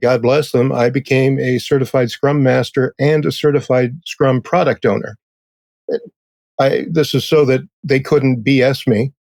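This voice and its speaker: A man with a plain, everyday voice speaks at a fairly slow pace and medium pitch, his intonation fairly even and his loudness very even. The sound is dry and close, with no echo. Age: 60s. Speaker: technical writer. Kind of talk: interview.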